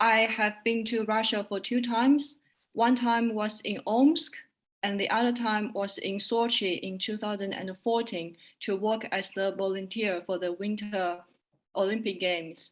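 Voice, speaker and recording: A woman with a Chinese accent speaks at a fairly slow pace in a fairly high pitch. The recording is very clean, with a silent background. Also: fairly even intonation. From China. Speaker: translator and interpreter. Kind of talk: self-introduction.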